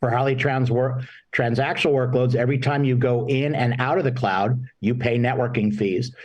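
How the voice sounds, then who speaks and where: A man with a normal speaking voice talks at a fairly quick pace. His pitch is medium, and the background is quiet. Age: 60s. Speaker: marketing executive. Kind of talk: panel interview.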